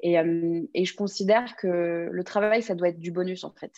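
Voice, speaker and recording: A woman speaks in a plain, everyday voice at medium pitch. Her intonation is fairly even, and the background is quiet. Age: 20s. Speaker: press agent. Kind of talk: interview.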